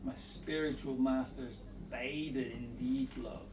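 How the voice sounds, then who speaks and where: Audible room echo surrounds this man's voice. Noticeable background noise is heard as well. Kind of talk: reading aloud.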